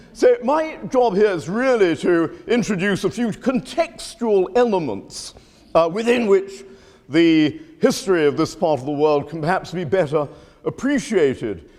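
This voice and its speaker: With a British accent, a man speaks at a fairly slow pace, his high voice moving in very wide pitch swings. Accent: British-educated English. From United Kingdom (educated), Spanish family. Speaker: history professor. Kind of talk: lecture. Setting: lecture hall with audience. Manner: hesitant, many fillers.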